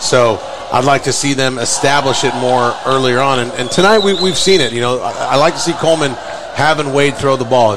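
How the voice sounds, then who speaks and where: Over noticeable background noise, a man talks at a fairly quick pace in a medium pitch. His tone is relaxed, with ordinary pitch variation. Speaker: color commentator. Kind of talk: live sports commentary, casual analysis. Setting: stadium press box, live radio broadcast. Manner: conversational, relaxed, opinionated; hesitant, filler-heavy, repeats words.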